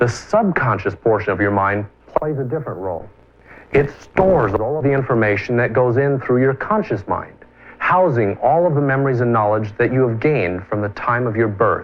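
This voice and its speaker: A man speaks at a fairly quick pace in a normal speaking voice of medium pitch. His intonation is lively. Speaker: infomercial host. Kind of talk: infomercial presentation.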